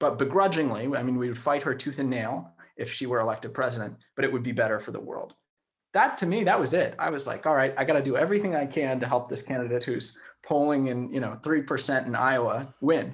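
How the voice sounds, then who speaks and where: An unremarkable speaking voice at a fairly quick pace with ordinary pitch variation. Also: man, medium pitch for a man. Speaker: political campaign organizer. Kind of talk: casual interview.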